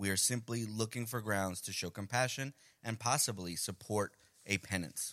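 A man with a New York accent speaks at a moderate pace with ordinary pitch variation. His fairly low voice has a bright, sharp tone. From Colombia (Medellín), raised in Queens, New York. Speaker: podcast host. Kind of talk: casual chat.

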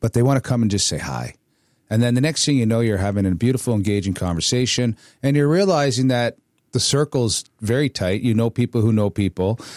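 In an ordinary speaking voice, a man talks at a fairly quick pace and medium pitch with ordinary pitch variation, the recording very clean with a silent background and a dry, close sound with no echo. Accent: Canadian. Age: 50s. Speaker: podcast host, army veteran. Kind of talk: casual chat.

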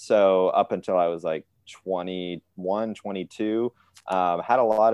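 A man's ordinary speaking voice, fairly low in pitch with ordinary pitch variation, dry and close with no echo over a quiet background. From US Midwest, northwest Ohio. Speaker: business consultant. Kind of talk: interview.

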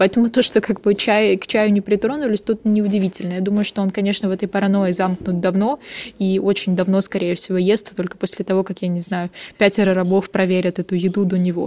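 A woman speaks at a very fast pace in a flat monotone. Her medium-pitched voice has a dark, mellow tone. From Ukraine, Odesa. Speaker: journalist, podcast co-host. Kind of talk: casual chat.

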